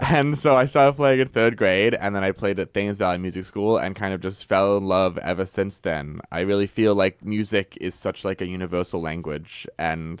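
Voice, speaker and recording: A man's fairly low voice with a slight English accent, ordinary pitch variation, a moderate pace and hardly any pauses, on a very clean recording with a silent background. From Mystic, Connecticut (born in England, moved at four). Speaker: cellist and concert series director. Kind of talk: radio interview.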